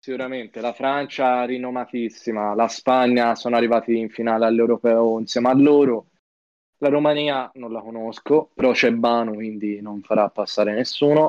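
At a moderate pace and medium pitch, a man uses an ordinary speaking voice with fairly even intonation. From Florence, Italy. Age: young. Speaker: esports player. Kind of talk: casual live-stream chat.

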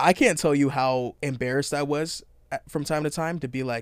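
A man with an American accent talks at a fairly quick pace and fairly high pitch in a plain, everyday voice. The recording is very clean, with a silent background. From Washington State, US (Edmonds, near Seattle). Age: 20s. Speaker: youth mentoring coordinator. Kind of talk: casual chat.

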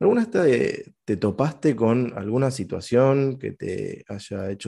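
Against a quiet background, the voice has a dark, mellow tone and moves at a very slow pace. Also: man. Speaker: podcast co-host. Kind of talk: casual interview chat.

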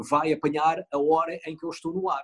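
The speaker is a man. His pitch is fairly high. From rural northern Portugal. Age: 40s. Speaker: TV news anchor. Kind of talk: interview. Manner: halting.

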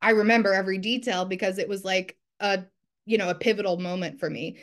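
Against a quiet background, a woman with an American accent speaks at a fairly quick pace in an unremarkable speaking voice. Her pitch is medium and her intonation fairly even. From New Jersey. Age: 30s. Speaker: journalist and copywriter. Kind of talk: interview.

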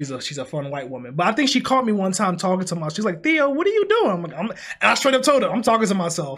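Loud and energetic, a man speaks very fast at a high pitch for a man, his voice swinging very widely in pitch. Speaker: podcast co-host and video creator. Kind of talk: casual chat. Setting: home recording at night. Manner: loud, energetic; held back to avoid waking housemates.

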